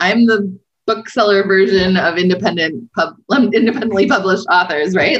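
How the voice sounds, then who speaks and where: A woman speaks with a Western Canadian accent. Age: middle-aged. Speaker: independent bookstore owner. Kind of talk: casual interview.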